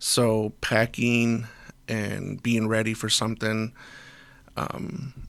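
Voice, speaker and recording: A very slow delivery with long, frequent pauses and fairly even intonation. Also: man, medium pitch for a man. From US, Mexican American family. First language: Spanish. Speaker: volunteer school builder and first responder. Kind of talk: casual interview. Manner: halting, many restarts.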